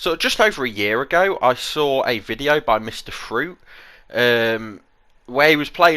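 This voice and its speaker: Recorded very cleanly against a silent background, a man with a British accent speaks at a medium pitch with a bright, sharp tone. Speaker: gaming YouTuber. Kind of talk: casual commentary.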